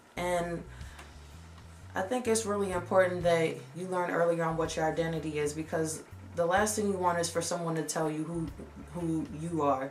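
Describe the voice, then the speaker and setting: A woman with a fairly low voice speaks with long, frequent pauses over noticeable background noise. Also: ordinary pitch variation, moderate pace. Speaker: lifestyle vlogger. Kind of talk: casual talk to camera.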